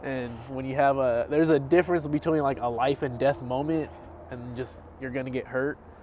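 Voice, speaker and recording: Talking at a fairly quick pace, a man keeps a medium pitch and fairly even intonation. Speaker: podcast co-host. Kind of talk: casual chat. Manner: quiet.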